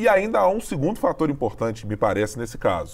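The speaker has a plain, everyday voice with lively intonation and a fairly quick pace. The recording is very clean, with a silent background. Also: man. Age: middle-aged. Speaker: podcast host, political journalist. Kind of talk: political analysis chat.

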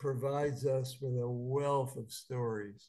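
A man's medium-pitched, somewhat breathy voice with a dark, mellow tone and fairly even intonation. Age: 80s. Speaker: rabbi and lecturer. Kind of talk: lecture. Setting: video call.

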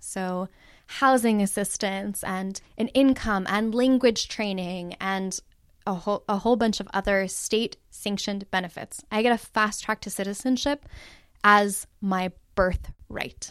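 In a very clean recording with a silent background, a woman with an American accent speaks at a medium pitch, a fairly slow pace and with fairly even intonation. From US West Coast, Los Angeles. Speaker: academic and activist organizer. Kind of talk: interview.

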